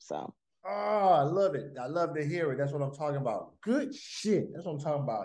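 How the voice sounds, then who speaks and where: The speech moves at a fairly quick pace with ordinary pitch variation. The background is quiet. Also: man. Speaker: fitness coach leading group call. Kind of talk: motivational talk to group. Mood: upbeat, encouraging. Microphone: video call.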